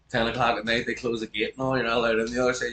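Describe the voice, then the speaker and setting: A man with an animated tone at a very fast pace, amid noticeable background noise. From Northern Ireland, Belfast. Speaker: podcast host. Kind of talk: casual chat.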